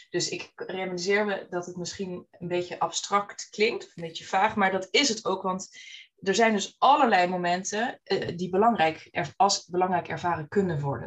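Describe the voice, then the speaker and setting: Here a woman uses an ordinary speaking voice at medium pitch. Her pace is moderate and her pitch variation ordinary. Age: 30s. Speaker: business owner. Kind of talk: interview.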